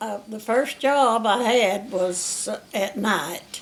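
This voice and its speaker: A woman with an Alabama accent talks at a very slow pace, her fairly high pitch moving with ordinary variation. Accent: southern US (Alabama). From US South. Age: 80s+. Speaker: retired factory worker. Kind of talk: oral history interview. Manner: halting.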